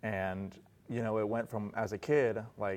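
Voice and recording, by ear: Here a man with an American accent speaks at a fairly slow pace and a fairly low pitch. His tone is slightly mellow and his intonation fairly even.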